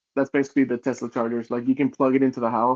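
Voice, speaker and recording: Speaking very fast in a monotone, flat delivery, a man at a medium pitch talks with a Spanish accent. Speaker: podcast co-host. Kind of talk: casual chat.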